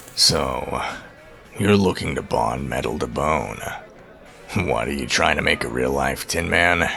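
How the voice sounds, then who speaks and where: Put-on character voice from a man, raspy, fairly slow, with long, frequent pauses and clear background noise. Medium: audio drama. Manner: curt, sardonic.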